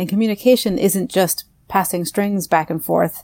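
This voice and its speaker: This woman has a medium pitch and a dark, mellow tone. Her pitch varies in an ordinary way. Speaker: linguist. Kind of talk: interview discussion.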